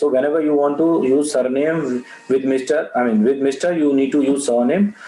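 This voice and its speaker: Fairly high-pitched man's voice against noticeable background noise. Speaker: interview skills trainer. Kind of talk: online training webinar. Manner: fast; halting, many fillers.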